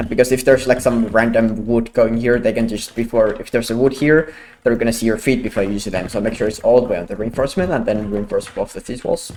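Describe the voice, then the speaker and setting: Very fast speech with a non-native accent, ordinary pitch variation and hardly any pauses. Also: man, medium pitch for a man. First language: not English. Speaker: gaming content creator. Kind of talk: gameplay tutorial. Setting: home, with wife sleeping in next room. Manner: quiet, held down.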